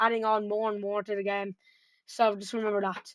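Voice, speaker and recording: A woman speaks very fast at a fairly high pitch, in a dry, close sound with no echo. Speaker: gaming youtuber. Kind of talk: gameplay tutorial. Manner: halting, many fillers.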